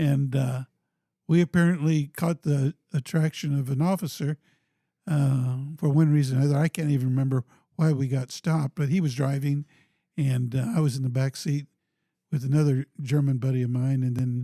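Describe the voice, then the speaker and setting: A man with an American accent, fairly high in pitch, dark and mellow in tone, at a moderate pace with fairly even intonation and very even loudness, in a dry, close recording with no echo and a silent, very clean background. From Topeka, Kansas, US Midwest. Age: 70s. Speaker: city mayor, former police officer. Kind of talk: podcast interview. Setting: studio in a former high school building. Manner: halting, many fillers.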